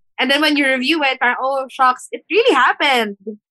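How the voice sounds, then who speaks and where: A woman speaks at a moderate pace in a raised, projected voice with a high pitch. The sound is dry and close, with no echo. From Philippines. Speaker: fashion stylist and entrepreneur. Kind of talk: interview.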